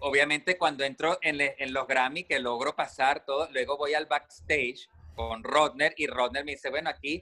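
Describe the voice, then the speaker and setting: Music plays in the background. A man speaks with a fairly high pitch. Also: dry, close sound with no echo. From Venezuela. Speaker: radio host. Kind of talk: casual chat. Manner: animated.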